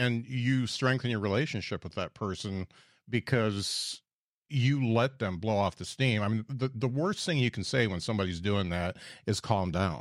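Lively intonation and a moderate pace mark an ordinary speaking voice on a very clean recording with a silent background. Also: man. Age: 50s. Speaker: podcast host and stand-up comedian. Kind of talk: casual interview chat.

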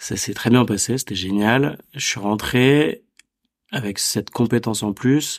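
Very slow and with ordinary pitch variation, a man speaks on a very clean recording with a silent background. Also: medium pitch for a man. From Paris suburbs, France. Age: 30s. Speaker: entrepreneur, event organizer. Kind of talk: casual interview.

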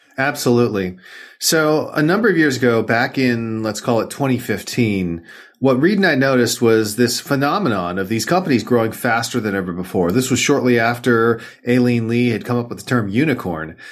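A man's plain, everyday voice at medium pitch, with lively intonation and a moderate pace. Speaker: author and venture investor. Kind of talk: interview conversation.

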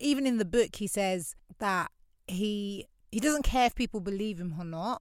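On a very clean recording with a silent background, a woman with a South London accent speaks with lively intonation. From London (Lewisham, south London). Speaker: podcast host. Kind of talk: personal reflective monologue. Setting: home recording in wardrobe.

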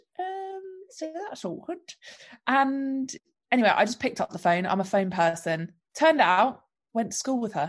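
Speaking at a moderate pace with a London accent, a woman uses a high voice with very wide pitch swings and long, frequent pauses over a quiet background. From London, England. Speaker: entrepreneur. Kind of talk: podcast interview.

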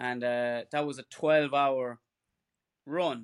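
A man with an Irish accent speaks at medium pitch with fairly even intonation. The recording is very clean with a silent background, and the sound is dry and close with no echo. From Ireland. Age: 40s. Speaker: ultra runner. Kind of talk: casual chat.

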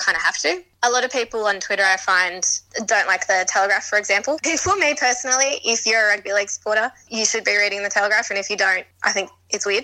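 A woman with an Australian accent, fairly high pitch, ordinary pitch variation and a very fast pace. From Sydney, Australia. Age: 30s. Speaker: magazine editor and journalist. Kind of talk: casual interview.

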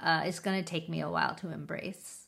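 On a very clean recording with a silent background, a woman speaks with a fairly low pitch and vocal fry. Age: 30s. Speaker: beauty podcast co-host. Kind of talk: casual chat.

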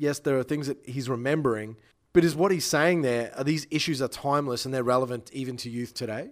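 Recorded very cleanly against a silent background, a man with an Australian accent speaks in a fairly high pitch. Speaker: music PR owner and podcast host. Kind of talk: casual chat.

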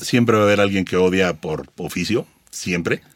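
At a moderate pace, a man speaks in a normal speaking voice with a fairly low pitch. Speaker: blogger and content creator. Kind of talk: interview.

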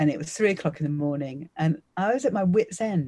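A woman's somewhat breathy, dark and mellow voice with a southern English accent, lively intonation and a moderate pace. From Essex, England. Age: 50s. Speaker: magician. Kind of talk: interview.

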